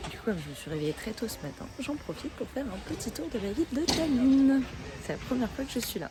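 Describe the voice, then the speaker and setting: A woman talks very fast in a high voice with very wide pitch swings, over noticeable background noise. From France. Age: 20s. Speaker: travel vlogger. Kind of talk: travel vlog. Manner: hesitant, many fillers.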